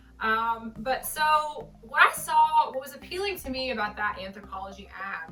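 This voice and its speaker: With music in the background, a woman talks in a high pitch with lively intonation. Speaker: home decorating vlogger. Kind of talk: casual talk to camera. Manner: rambling, with many filler words.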